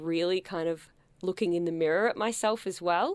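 In an Australian accent, a woman with a fairly low pitch and ordinary pitch variation speaks at a moderate pace, the recording very clean with a silent background and a dry, close sound with no echo. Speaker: performer and writer. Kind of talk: interview. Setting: radio studio.

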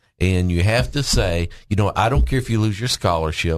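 A man's very deep, low voice with a Southern US accent, ordinary pitch variation and a moderate pace, against a quiet background. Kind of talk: casual chat. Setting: studio.

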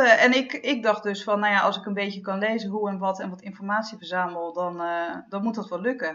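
A woman is speaking. Her pitch is fairly high. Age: 40s. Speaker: freelance journalist and author. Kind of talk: casual chat.

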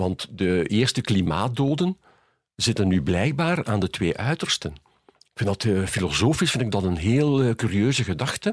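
A man speaks at a fairly slow pace and fairly low pitch with very wide pitch swings and very even loudness, in a dry, close sound with no echo on a very clean recording with a silent background. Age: 70s. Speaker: mathematician and philosopher. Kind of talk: casual interview.

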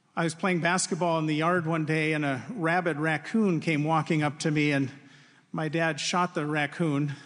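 The speaker has an Upper Midwest accent and fairly even intonation. Loudness stays very even over a quiet background. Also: man, fairly high pitch for a man, moderate pace. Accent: Upper Midwest American. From Wisconsin. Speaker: university faculty speaker. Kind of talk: devotional address.

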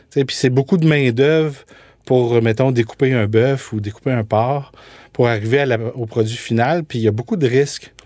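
In an ordinary speaking voice, a man talks at a moderate pace with fairly even intonation. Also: medium pitch for a man. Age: 40s. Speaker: food entrepreneur. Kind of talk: interview.

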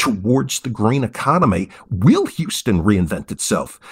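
The pace is very slow, and vocal fry comes through. The pitch swings very widely. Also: man. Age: 50s. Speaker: economics professor. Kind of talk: interview.

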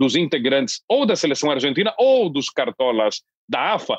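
The sound is dry and close, with no echo. A man speaks at a moderate pace with lively intonation. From southern Brazil (Londrina, Paraná). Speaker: foreign correspondent journalist. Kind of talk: interview discussion.

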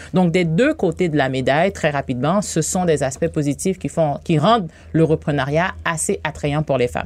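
Very deep, low female voice with vocal fry, ordinary pitch variation and a moderate pace. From Haiti. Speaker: bank regional director for women entrepreneurs. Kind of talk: radio interview.

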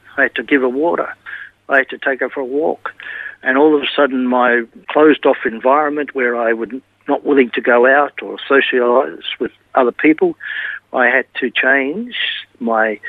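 With an Australian accent, a man speaks at a moderate pace and medium pitch with fairly even intonation and long, frequent pauses. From Australia, Melbourne. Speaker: retired teacher. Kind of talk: interview testimony. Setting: remote from home.

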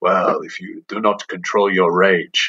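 A put-on character voice from a man, fairly slow in pace. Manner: wise, speaking in riddles and parables.

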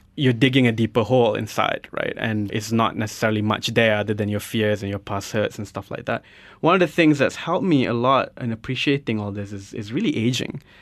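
With an ordinary speaking voice, a man at a medium pitch moves at a fairly quick pace with hardly any pauses and ordinary pitch variation against a quiet background. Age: 30s. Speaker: radio host. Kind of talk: radio interview. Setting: radio studio.

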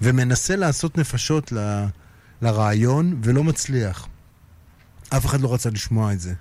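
At a fairly slow pace, a man speaks at a medium pitch in a dark, mellow tone, with long, frequent pauses. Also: lively intonation. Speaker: music industry figure and musician. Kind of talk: casual interview. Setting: radio studio.

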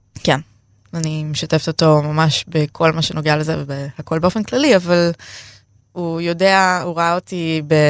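Fairly slow and fairly low-pitched, a woman speaks in a normal speaking voice. Her intonation is fairly even, and the sound is dry and close with no echo. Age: 30s. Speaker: feminist activist sharing her eating disorder story. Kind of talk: personal interview testimony.

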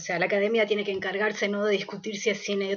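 A woman with a Uruguayan accent speaks at a very fast pace over noticeable background noise. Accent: Uruguayan Spanish (rioplatense). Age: 40s. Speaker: theatre producer. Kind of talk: interview. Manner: halting, with frequent repetitions and fillers.

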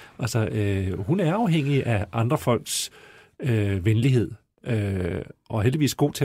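On a very clean recording with a silent background, a man speaks at a fairly slow pace. His medium-pitched voice is dark, mellow and somewhat breathy, with lively intonation. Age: 50s. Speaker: newspaper journalist, panelist. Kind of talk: casual panel chat.

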